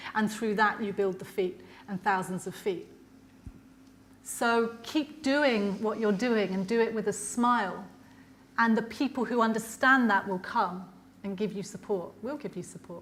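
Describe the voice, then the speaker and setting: Audible room echo follows a woman as she talks at a fairly slow pace. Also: fairly high pitch for a woman, ordinary pitch variation. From Ireland. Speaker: lecturer, politician. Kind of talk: lecture Q&A answer.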